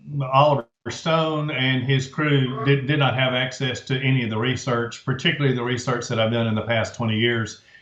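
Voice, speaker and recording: Amid noticeable background noise, a man at medium pitch speaks at a fairly quick pace with fairly even intonation. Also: hardly any pauses. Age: 60s. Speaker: author and researcher. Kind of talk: interview.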